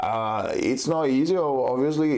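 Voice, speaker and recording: Dark, mellow tone with a Brazilian accent, a fairly slow pace, and ordinary pitch variation. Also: man. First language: Portuguese. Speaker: jiu-jitsu competitor. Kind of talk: podcast interview. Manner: halting, many fillers.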